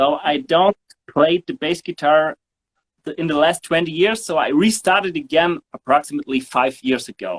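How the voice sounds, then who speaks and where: Recorded with a dry, close sound and no echo, a man with a German accent talks at a moderate pace in a high pitch with ordinary pitch variation. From southern Germany (Sindelfingen). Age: 40s. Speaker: bass player. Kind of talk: interview. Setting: studio. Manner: halting, many fillers.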